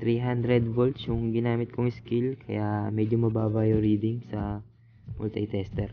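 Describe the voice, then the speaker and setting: A soft-spoken man at a fairly slow pace, with monotone, flat intonation. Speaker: ship electrician vlogger. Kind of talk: tutorial. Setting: ship cabin onboard. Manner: soft-spoken, quiet.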